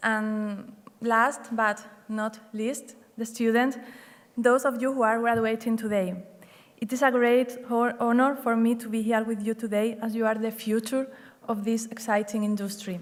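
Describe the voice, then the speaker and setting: A woman's fairly high, flat, monotone voice in a Spanish accent, at a moderate pace, with audible room echo. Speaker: hotel general manager. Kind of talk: graduation speech. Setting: stage with audience.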